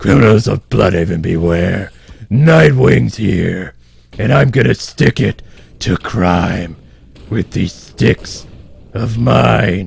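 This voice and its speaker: A man does a raspy put-on character voice at a very deep, low pitch. He goes at a very slow pace with very wide pitch swings and long, frequent pauses. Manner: gruff, mock-serious.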